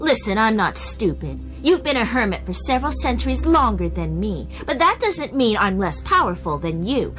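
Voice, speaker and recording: Over clear music in the background, a female-sounding voice performs a put-on character voice at a moderate pace. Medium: fan dub. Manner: brash, combative.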